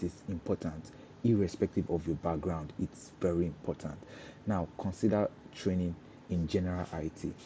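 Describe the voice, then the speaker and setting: A man's very deep, low, somewhat breathy voice at a fairly quick pace with fairly even intonation. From Nigeria (Lagos, then Kaduna). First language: Yoruba. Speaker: cybersecurity professional. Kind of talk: live stream talk. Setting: live stream. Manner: halting, many repetitions.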